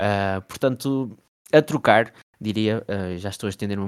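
On a very clean recording with a silent background and a dry, close sound with no echo, a man with an ordinary speaking voice talks at a moderate pace with fairly even intonation. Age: 20s. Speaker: NBA fan page creator. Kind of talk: casual chat.

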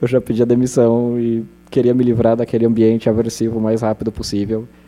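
A man at a medium pitch and a fairly quick pace, against noticeable background noise. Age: 20s. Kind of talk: panel talk at public event.

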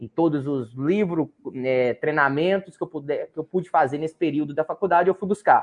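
At a moderate pace, a man speaks in a normal speaking voice, fairly high in pitch, with ordinary pitch variation. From Brazil, Minas Gerais–Bahia border. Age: 20s. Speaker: livestock market analyst. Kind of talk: interview.

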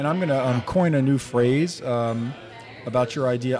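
Over music in the background, a man with an American accent talks at a moderate pace and medium pitch, with ordinary pitch variation. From New Jersey. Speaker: foodie group admin and guest. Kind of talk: casual round-table chat. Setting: brewery taproom.

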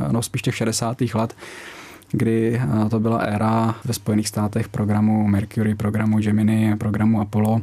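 Against noticeable background noise, the voice keeps a moderate pace, very even loudness and flat, monotone intonation. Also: man, fairly low pitch for a man. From Czech Republic, Brno (Moravia). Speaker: military pilot and reserve astronaut. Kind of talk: radio interview.

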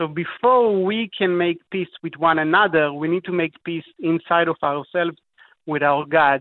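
Ordinary pitch variation marks this man's high-pitched voice. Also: moderate pace. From Israel, Tel Aviv. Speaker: author and apologist. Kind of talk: radio interview.

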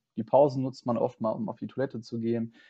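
A man with medium pitch, an ordinary speaking voice, and a fairly quick pace. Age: 20s. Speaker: student teacher. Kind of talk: interview.

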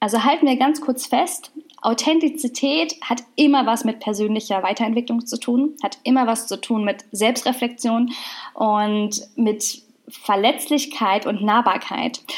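This woman has a high pitch and speaks at a fairly slow pace. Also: ordinary pitch variation. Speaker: podcast host, nutrition scientist and business mentor. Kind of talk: solo podcast monologue.

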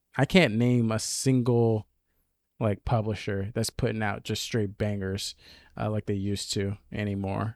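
A man at a fairly slow pace, fairly low in pitch with fairly even intonation, in a dry, close sound with no echo and a very clean recording against a silent background. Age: 20s. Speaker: gaming podcast host. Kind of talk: casual chat.

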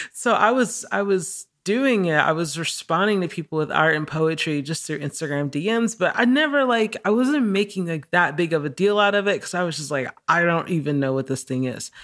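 A woman's fairly low voice at a fairly quick pace, with very wide pitch swings and hardly any pauses. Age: 30s. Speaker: artist and singer. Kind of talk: casual interview chat.

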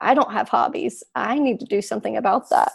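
At a moderate pace, a woman talks with a Southern US accent. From Alabama. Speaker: agricultural communicator. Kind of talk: casual chat.

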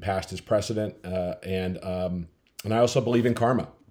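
Here is a man with an American accent and a normal speaking voice, pitched fairly low. He talks at a fairly quick pace with fairly even intonation on a very clean recording with a silent background. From US Midwest, Minnesota. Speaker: company founder. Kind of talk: interview.

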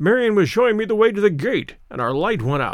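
Putting on a character voice, a man talks at a fairly quick pace in a high pitch with very wide pitch swings. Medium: read story. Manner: cheerful, hearty.

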